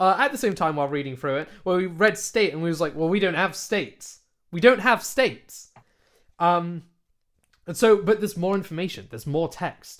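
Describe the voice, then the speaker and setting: Speaking at a fairly quick pace, a man with a British accent uses an animated tone. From UK. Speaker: podcast co-host. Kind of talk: casual chat; reading aloud.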